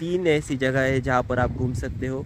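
Recorded dry with no echo over light background noise, a man talks at a fairly slow pace. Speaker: travel vlogger. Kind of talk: casual vlog chat. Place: street. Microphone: phone near.

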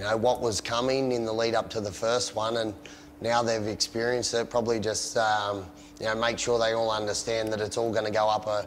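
There is light background noise as a man talks at a fairly quick pace with monotone, flat intonation. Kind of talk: interview answer. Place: street.

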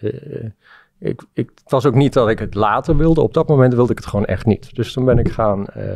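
Against a quiet background, a man with a medium pitch and a dark, mellow tone speaks with vocal fry and ordinary pitch variation. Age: 40s. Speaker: entrepreneur; guest. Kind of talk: interview. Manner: halting. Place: studio. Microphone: studio mic.

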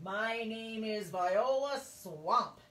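A female-sounding voice with fairly high pitch puts on a character voice, and the audio carries an audible echo. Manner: menacing.

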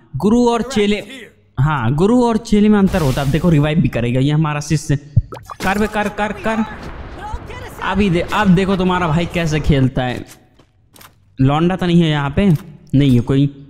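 With music in the background, a man with a high pitch and lively intonation speaks with long, frequent pauses. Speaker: gamer doing comedic commentary. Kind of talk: funny gameplay commentary. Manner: joking, boastful, excitable.

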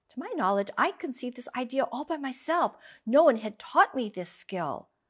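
Very wide pitch swings run through a woman's speech in an American accent. The background is quiet. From United States. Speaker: English teacher. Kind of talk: story reading for language learners. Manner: slow, clear. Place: studio. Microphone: studio mic.

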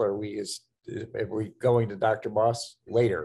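A man speaks in a somewhat breathy voice. His intonation is fairly even. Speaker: seminary president. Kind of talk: welcome remarks at online event. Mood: warm, smiling.

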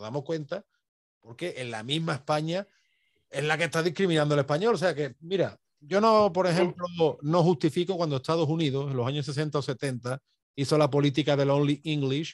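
A man at a fairly high pitch and moderate pace, with ordinary pitch variation, in a dry sound with no echo. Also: quiet background. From Andalusia, Spain (Seville area); Andalusia, Spain. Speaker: YouTube history channel host. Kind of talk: conversational interview on history and language. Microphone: video call.

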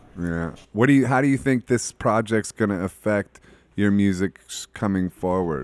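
Here is a man with an American accent and fairly low pitch, speaking in a plain, everyday voice. His moderate pace and ordinary pitch variation come through in a dry sound with no echo. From Ohio, US Midwest. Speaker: podcast host and musician; podcast host. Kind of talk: casual chat. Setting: studio. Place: studio. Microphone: studio mic.

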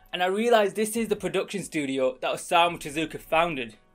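Speech comes at a very fast pace while faint music plays in the background. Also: man. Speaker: anime reviewer. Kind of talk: casual commentary. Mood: joking, playful. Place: home room.

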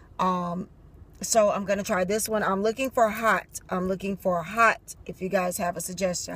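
A woman at a moderate pace, with dry sound and no echo. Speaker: drink reviewer vlogger. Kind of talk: casual vlog chat. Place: car. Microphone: phone near.

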